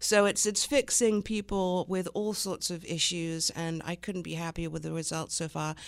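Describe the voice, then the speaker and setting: An English accent with hardly any pauses. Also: woman, fairly low pitch for a woman, ordinary pitch variation, moderate pace. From England. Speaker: small business owner, former makeup artist. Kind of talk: radio interview.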